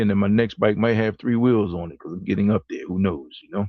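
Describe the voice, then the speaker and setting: A man talks in a plain, everyday voice, pitched fairly low. His intonation stays fairly even. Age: 60s. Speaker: co-host of a live talk show. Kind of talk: casual chat.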